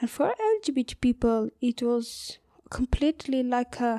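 A woman's high, dark, mellow voice with fairly even intonation, dry and close with no echo. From northern Afghanistan. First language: Uzbek. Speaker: LGBTQ rights activist. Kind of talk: interview. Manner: halting, many fillers.

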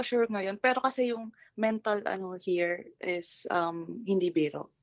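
At a moderate pace, a woman with a Filipino accent speaks with very wide pitch swings. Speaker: caller. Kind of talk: advice call.

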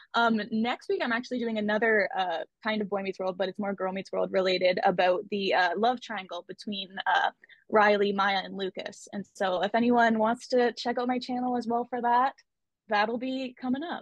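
A woman with a Canadian accent speaks at a moderate pace in a fairly high pitch, with ordinary pitch variation and an unremarkable speaking voice. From Canada. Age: 20s. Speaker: YouTuber. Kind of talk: casual chat.

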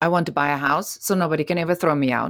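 Very deep and low in pitch, a woman speaks with a German accent. The recording is very clean, with a silent background. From Germany. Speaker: entrepreneur. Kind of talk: interview.

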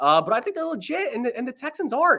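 A man with an American accent speaks in a raised, projected voice. His tone is bright and sharp, and his pitch swings very widely. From Philadelphia / South Jersey, US. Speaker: sports radio host, podcast co-host. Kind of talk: casual sports betting chat.

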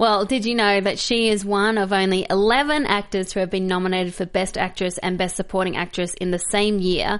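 A woman talks at a fairly quick pace with an Australian accent and a medium pitch. The background is quiet. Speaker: film podcast co-host. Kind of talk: casual chat. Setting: studio.

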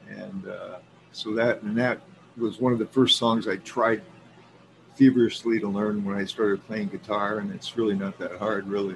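Here is a man in a normal speaking voice with a medium pitch. He keeps a moderate pace and fairly even intonation. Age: 60s. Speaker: guest. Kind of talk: casual chat. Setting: video call.

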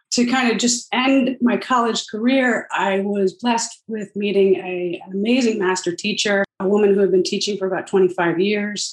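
With a normal speaking voice, a woman talks at a medium pitch, with ordinary pitch variation and hardly any pauses. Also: moderate pace. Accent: American. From Northern New Jersey. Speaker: company executive in family business. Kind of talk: interview.

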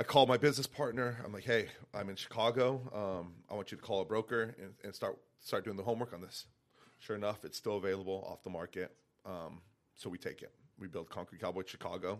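This man's pitch is fairly low. He speaks very fast. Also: ordinary pitch variation, very clean recording, silent background. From northern New Mexico (Santa Fe). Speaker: restaurant and bar owner. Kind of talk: casual interview. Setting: studio.

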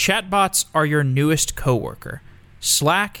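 A man uses a normal speaking voice, moving at a moderate pace while his intonation stays lively. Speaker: podcast host reading intro and ad. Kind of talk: scripted intro and sponsor read.

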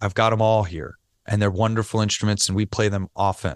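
A man with an American accent and a plain, everyday voice speaks at a moderate pace and a fairly low pitch, the sound dry and close with no echo over a quiet background. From New York. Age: 40s. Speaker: relaxation expert and sound therapy practitioner. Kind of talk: interview, casual chat.

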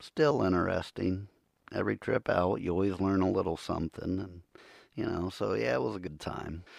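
With an American accent, a man speaks at a moderate pace in a very deep, low voice with vocal fry and lively intonation. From Ohio. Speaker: podcast host, Bigfoot researcher. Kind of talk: solo podcast monologue. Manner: casual, rambling.

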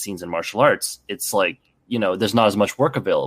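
With an unremarkable speaking voice, a man talks at a fairly quick pace and a fairly low pitch. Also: dry, close sound with no echo. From Canada. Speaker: stuntman and martial artist. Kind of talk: casual chat.

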